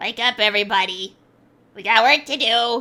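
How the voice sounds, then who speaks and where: Over a silent background in a very clean recording, a female-sounding speaker uses a put-on character voice with a fairly high pitch. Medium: virtual streamer. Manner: blunt, dismissive.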